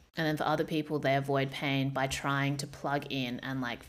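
A woman speaks at a moderate pace in a very deep, low voice with vocal fry. Her intonation is flat and monotone. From Australia, Perth suburbs. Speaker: podcast host. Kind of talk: casual chat.

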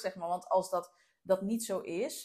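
This is a woman speaking at a medium pitch. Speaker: business coach and podcast host. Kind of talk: interview. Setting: at home.

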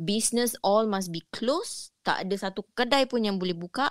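With a normal speaking voice, a woman talks at a fairly slow pace and fairly high pitch with ordinary pitch variation. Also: dry, close sound with no echo. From Singapore. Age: middle-aged. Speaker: caller sharing ghost stories. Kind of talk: storytelling.

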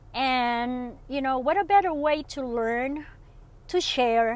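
A woman speaks very slowly with a non-native accent. Her pitch is high and varies in an ordinary way. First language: not English. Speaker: solo podcaster and online seller. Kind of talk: casual solo monologue. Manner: unscripted, with many fillers.

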